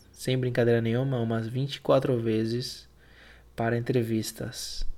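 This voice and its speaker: Flat and monotone, a man speaks at a very slow pace. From Argentina (Buenos Aires), moved to Brazil at 12. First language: Spanish (speaking Portuguese). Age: 20s. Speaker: podcast host. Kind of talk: casual solo monologue. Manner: hesitant, improvised.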